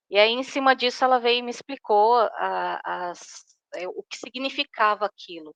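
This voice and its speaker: A woman's voice with ordinary pitch variation. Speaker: workshop participant. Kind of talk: personal sharing in a group. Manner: slow; hesitant.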